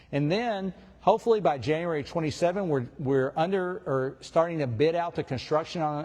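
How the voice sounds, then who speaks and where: Here a man speaks at a fairly high pitch, with ordinary pitch variation. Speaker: school district administrator. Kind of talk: public presentation; audience Q&A. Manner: loud.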